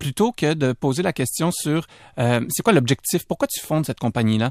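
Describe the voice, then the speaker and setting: Moderate pace and ordinary pitch variation, dry and close with no echo, on a very clean recording with a silent background. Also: man. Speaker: entrepreneur and author. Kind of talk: radio interview. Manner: hesitant, many fillers.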